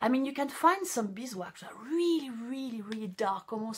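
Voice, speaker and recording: A woman's pitch swings very widely as she talks at a moderate pace against noticeable background noise. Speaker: encaustic painting teacher. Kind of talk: live stream tutorial. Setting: studio. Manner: halting, many fillers.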